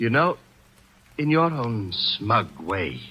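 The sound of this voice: A man speaks slowly in a put-on character voice at a medium pitch, with big pitch swings. His tone is bright and sharp, with a slightly husky edge.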